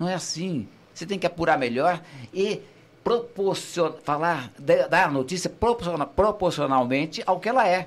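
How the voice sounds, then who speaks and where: With ordinary pitch variation and a moderate pace, a man speaks at a high pitch. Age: 60s. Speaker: veteran journalist and radio broadcaster. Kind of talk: casual chat.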